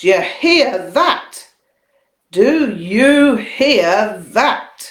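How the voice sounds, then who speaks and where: Using a put-on character voice, a woman booms loudly at a very slow pace with a fairly high pitch. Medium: read story. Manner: loud, booming, teasing.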